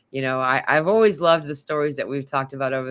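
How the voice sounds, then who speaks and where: A woman speaks at a very deep, low pitch. The sound is dry and close, with no echo. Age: 40s. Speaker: spiritual channel host. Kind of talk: casual interview chat.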